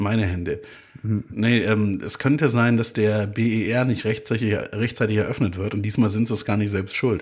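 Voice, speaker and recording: With fairly even intonation, an unremarkable speaking voice proceeds at a moderate pace. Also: man, fairly low pitch for a man. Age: 30s. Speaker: podcast co-host. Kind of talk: casual chat.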